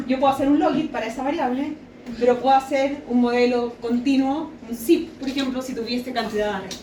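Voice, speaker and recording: Fairly quick speech with fairly even intonation, audible room echo and noticeable background noise. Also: woman, high pitch for a woman. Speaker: sociology researcher. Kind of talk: academic lecture. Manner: fast.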